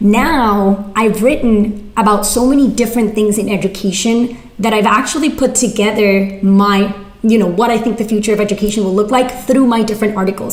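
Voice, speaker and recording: A woman speaks at a fairly high pitch with fairly even intonation. Noticeable background noise and audible room echo fill the recording. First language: not English (English is third language). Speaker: writer and former teacher. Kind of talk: workshop Q&A. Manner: casual, filler-heavy.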